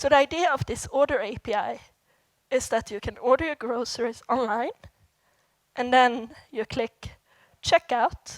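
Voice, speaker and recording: Speaking with a Swedish accent, a woman uses a high pitch, ordinary pitch variation and a moderate pace with long, frequent pauses. The very clean recording has a silent background and a dry, close sound with no echo. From Sweden. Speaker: software developer, conference speaker. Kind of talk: conference talk. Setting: stage with audience.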